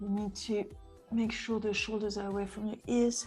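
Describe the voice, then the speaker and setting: Music plays behind a speaker with a non-native accent. The delivery is monotone and flat, at a moderate pace. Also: woman. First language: not English. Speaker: pilates instructor. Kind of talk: live fitness class instruction. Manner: encouraging.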